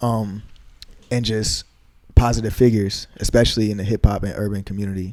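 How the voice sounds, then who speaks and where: A man's fairly low, monotone voice with flat intonation, big swings in loudness, a fairly quick pace and long, frequent pauses. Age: 20s. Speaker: rapper, producer and engineer. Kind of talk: interview. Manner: soft-spoken.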